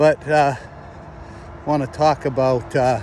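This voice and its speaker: The speech moves at a very slow pace with ordinary pitch variation over noticeable background noise. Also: man. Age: 60s. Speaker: retired army officer vlogger. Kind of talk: casual monologue. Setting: outdoors walking by a road. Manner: halting, many fillers.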